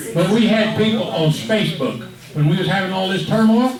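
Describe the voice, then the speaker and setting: A man with a Texan accent talks at a moderate pace with lively intonation, over noticeable background noise and audible room echo. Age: 70s. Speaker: fire department official. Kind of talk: public meeting.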